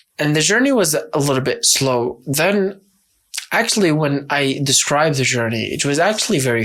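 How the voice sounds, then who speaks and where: A man's fairly high voice carries lively intonation at a moderate pace. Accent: Arabic. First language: Arabic. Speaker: YouTuber. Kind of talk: vlog monologue.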